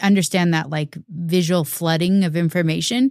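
A woman with an ordinary speaking voice, fairly low pitch, fairly even intonation and a moderate pace, in a dry, close sound with no echo. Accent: American. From US Pacific Northwest, Seattle. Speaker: podcast host. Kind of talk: interview. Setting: video call.

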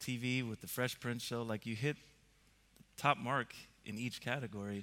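The tone is bright and sharp, with a moderate pace and fairly even intonation. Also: man. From Sweden, Stockholm. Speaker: music and video producer. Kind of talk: on-stage interview. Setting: stage with audience.

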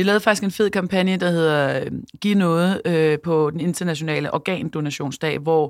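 A woman with a normal speaking voice talks at a moderate pace, her pitch fairly low with ordinary variation. The recording is very clean, with a silent background. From Denmark, Copenhagen. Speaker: entrepreneur and CEO, former DJ and radio host. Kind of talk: casual interview. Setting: studio.

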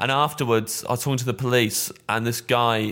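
In a very clean recording with a silent background, a man with an East Midlands accent talks at a fairly quick pace in a bright, sharp tone. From England, Kettering (East Midlands). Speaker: stand-up comedian. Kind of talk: casual chat.

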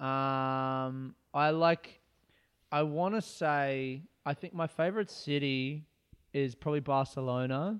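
Speaking with an Australian accent, a man goes at a very slow pace. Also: fairly high pitch for a man, ordinary pitch variation. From Australia, Adelaide. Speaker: comedian. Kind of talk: casual chat.

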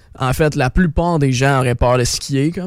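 This man has a fairly high-pitched voice. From Quebec. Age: 20s. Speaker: content creator and ski coach. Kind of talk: casual chat. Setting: radio studio.

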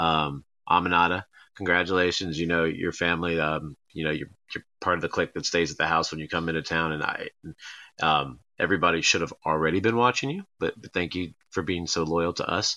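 At a fairly quick pace, a man with a very deep, low voice talks in fairly even intonation. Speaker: wrestling promoter. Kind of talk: casual interview chat.

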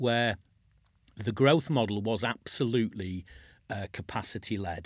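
In a very clean recording with a silent background, a man has a normal speaking voice, fairly low in pitch, moving at a moderate pace with ordinary pitch variation. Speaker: podcast host. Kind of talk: casual interview.

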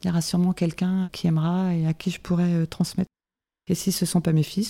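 In a dark, mellow tone and somewhat breathy, a woman with a fairly low pitch talks at a fairly quick pace in a monotone, flat intonation, with a dry, close sound and no echo. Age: 50s. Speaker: winegrower. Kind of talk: interview.

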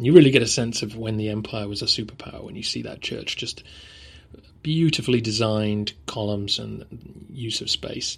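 With an English accent, a man speaks at a medium pitch while his loudness swings widely. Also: ordinary pitch variation, moderate pace. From England. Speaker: history podcaster. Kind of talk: casual travel update, unscripted. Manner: hesitant, with ums and ahs.

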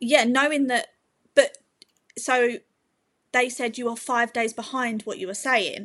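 With an English accent, a woman speaks at a high pitch and a fairly slow pace. Her intonation is fairly even, broken by long, frequent pauses. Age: 20s. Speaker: mother sharing birth story. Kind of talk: testimony.

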